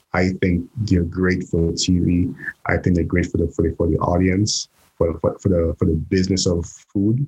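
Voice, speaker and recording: A man speaks at a very deep, low pitch, somewhat breathy. The sound is dry and close, with no echo. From Saint Lucia. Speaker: chef. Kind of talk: casual chat.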